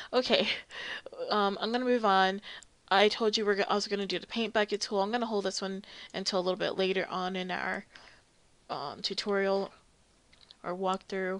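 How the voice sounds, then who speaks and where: Against a quiet background, a woman talks at a fairly quick pace with a medium pitch. Her intonation is monotone and flat, broken by long, frequent pauses. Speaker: 3D modeling tutorial creator. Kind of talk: tutorial. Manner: casual, many filler ums.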